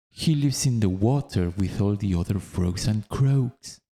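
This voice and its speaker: Speaking fairly slowly, a man has a dark, mellow tone and a non-native accent. His pitch varies in an ordinary way. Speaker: narrator. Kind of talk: audiobook reading. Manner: calm.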